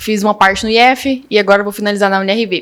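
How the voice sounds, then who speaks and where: This woman has an unremarkable speaking voice with fairly even intonation. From Rio Verde, Goiás, Brazil. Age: 20s. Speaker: agronomy student. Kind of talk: interview.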